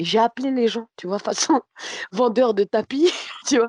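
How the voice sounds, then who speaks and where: Her pace is fairly quick and her intonation lively, a woman at fairly high pitch. The sound is dry and close with no echo, over a quiet background. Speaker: comedian. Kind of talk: casual chat.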